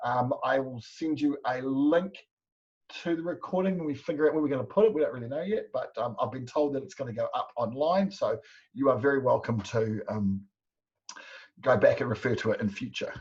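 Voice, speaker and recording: Talking fairly quickly, a man uses a New Zealand accent. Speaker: business coach. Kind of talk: webinar presentation. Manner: fast.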